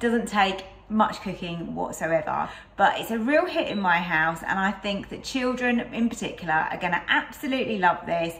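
This woman talks at a moderate pace with lively intonation. Her loudness swings widely. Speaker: cooking channel host. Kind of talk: cooking tutorial chat. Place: kitchen.

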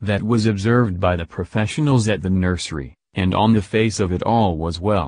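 Against a quiet background, a man with an unremarkable speaking voice talks at a moderate pace and a fairly low pitch, with ordinary pitch variation and hardly any pauses. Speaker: true crime narrator. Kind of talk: true-crime narration, scripted and read out, grave, documentary style. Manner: solemn, measured, formal.

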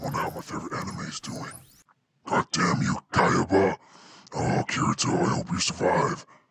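A man's raspy put-on character voice, fairly high in pitch, at a moderate pace. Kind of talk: comedic parody gameplay dub. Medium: dub.

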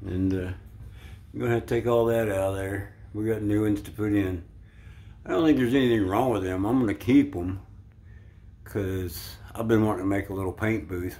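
A man's fairly low voice at a moderate pace, with ordinary pitch variation and long, frequent pauses. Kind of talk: casual vlog chat. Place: bathroom. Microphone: phone near.

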